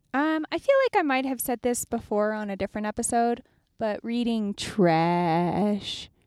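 A woman's fairly high voice, a normal speaking voice, with lively intonation and a fairly slow pace, on a very clean recording with a silent background and dry, close sound with no echo. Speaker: travel podcast co-host. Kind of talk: casual chat. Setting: in a car. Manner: giggly, laughs often.

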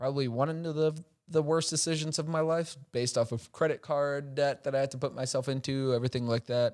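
In an ordinary speaking voice, a man with an American accent talks at a fairly quick pace, his pitch fairly high and his intonation fairly even, on a very clean recording with a silent background. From Chicago, US. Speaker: tech startup executive. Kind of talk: casual interview.

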